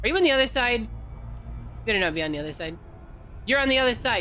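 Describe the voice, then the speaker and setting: A woman speaks loudly with audible room echo. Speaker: video game streamer. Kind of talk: live gameplay commentary. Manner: animated.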